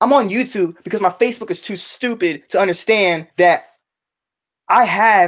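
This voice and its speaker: Here a man with a high pitch speaks in an animated tone. The recording is very clean, with a silent background. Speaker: YouTuber. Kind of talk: rant.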